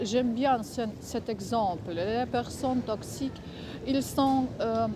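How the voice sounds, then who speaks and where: A woman talks at a very slow pace. She has a non-native accent. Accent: foreign accent in French. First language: not French (speaking French). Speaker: vlogger. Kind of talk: casual vlog monologue. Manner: halting, many hesitations.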